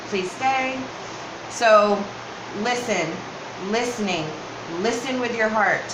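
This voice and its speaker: Someone with an American accent talks at a very slow pace, leaving long, frequent pauses and using ordinary pitch variation. Noticeable background noise and audible room echo fill the recording. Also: woman, fairly high pitch for a woman. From northern US. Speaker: tarot reader. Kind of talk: tarot reading.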